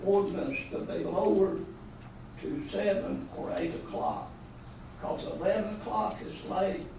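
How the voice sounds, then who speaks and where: Room echo and noticeable background noise surround this recording. A man with a North Carolina accent speaks at a moderate pace. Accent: Southern US (North Carolina). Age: 70s. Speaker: resident speaking at public comment. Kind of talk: public comment at town council meeting. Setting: town council meeting room.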